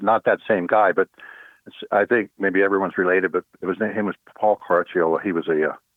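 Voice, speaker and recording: Speaking very fast, a man with an American accent keeps a fairly low pitch. His intonation stays fairly even. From US, central Pennsylvania (Altoona). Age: 60s. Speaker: musician. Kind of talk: casual interview. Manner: halting, many fillers and restarts.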